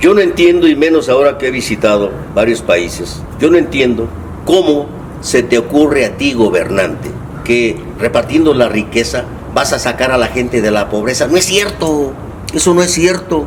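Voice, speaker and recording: Amid noticeable background noise and audible room echo, a man talks at a moderate pace with a fairly high pitch and lively intonation. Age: 70s. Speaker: left-wing politician. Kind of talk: casual interview chat. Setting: at home during a meal.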